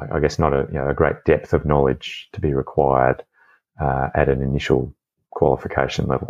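With an Australian accent, a man talks in a very deep, low pitch marked by vocal fry. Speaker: doctor and former airline pilot. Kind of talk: interview. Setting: video call.

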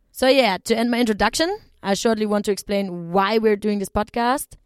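A woman with a German accent talks fairly quickly at medium pitch with ordinary pitch variation. The recording is very clean and silent behind her, with a dry, close sound with no echo. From southern Germany. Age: 20s. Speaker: travel podcast host. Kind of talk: personal storytelling monologue.

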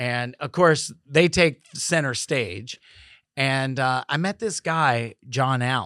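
A man with an American accent speaks at a very slow pace in a medium pitch with ordinary pitch variation. His tone is bright and sharp, and the recording is very clean, dry and close, with no echo and a silent background. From Maryland, US. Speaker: clothing designer. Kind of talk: casual chat.

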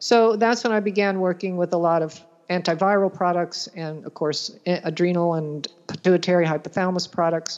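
A woman with a fairly low pitch and an ordinary speaking voice talks at a fairly quick pace with fairly even intonation. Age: 60s. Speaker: nutrition practitioner. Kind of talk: interview.

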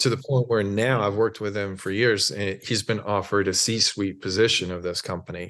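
A man with an American accent and a normal speaking voice talks at a fairly quick pace with hardly any pauses. His fairly low pitch stays in a fairly even intonation against a quiet background. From US, small town in Oregon. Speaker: mental performance coach, former elite swimmer. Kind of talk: interview conversation.

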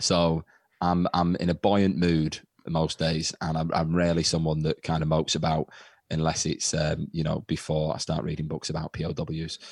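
A man's very deep, low voice in an English accent, monotone and flat, with a dry, close sound with no echo and a very clean recording over a silent background. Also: moderate pace. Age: 20s. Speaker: comedian and teacher. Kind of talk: casual chat.

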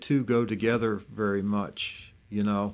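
This man speaks at a fairly low pitch. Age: 60s. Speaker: recovering alcoholic sharing faith testimony. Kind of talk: testimony. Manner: halting, many fillers.

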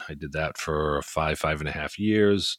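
A man with a slight New England accent, fairly even intonation, a moderate pace, and a dry, close sound with no echo. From Maine, US. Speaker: retired police officer, podcast host. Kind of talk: casual chat, podcast intro.

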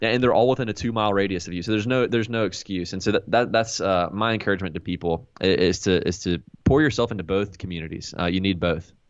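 A man's fairly low voice at a very fast pace, ordinary pitch variation and hardly any pauses. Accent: American. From US South, North Carolina (High Point). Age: 20s. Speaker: young adults pastor. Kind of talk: interview, casual chat.

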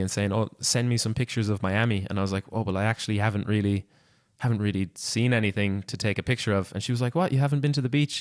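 Over a very clean recording with a silent background, someone with an Irish accent talks at a very fast pace with ordinary pitch variation and a dry, close sound with no echo. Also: man. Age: 20s. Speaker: podcast host. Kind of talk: interview.

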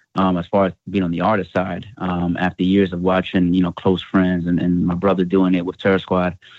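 A man with an American accent, a very deep, low pitch and a very fast pace. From US Northeast (Bronx, New York City). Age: 20s. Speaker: hip hop artist. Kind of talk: interview.

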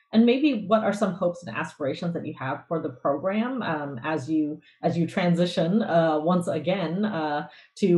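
A somewhat breathy woman's voice with a very deep, low pitch. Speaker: guest host. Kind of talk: interview conversation.

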